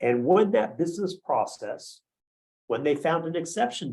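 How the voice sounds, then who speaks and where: A man speaks at a moderate pace. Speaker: automation engineer. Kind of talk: webinar presentation. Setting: live online stream.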